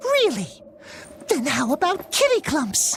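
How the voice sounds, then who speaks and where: A put-on character voice, high-pitched and fairly slow, against clear background noise. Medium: video game. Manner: cutesy, puns, meowing.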